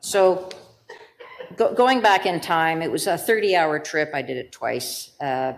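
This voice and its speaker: A woman with fairly low pitch and lively intonation at a fairly slow pace, with audible room echo. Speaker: lawyer and bone marrow donor patient partner. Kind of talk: conference talk. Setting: symposium stage.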